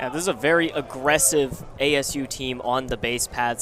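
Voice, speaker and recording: A man talks with ordinary pitch variation. Music plays in the background. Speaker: baseball play-by-play announcer. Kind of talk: television baseball play-by-play broadcast.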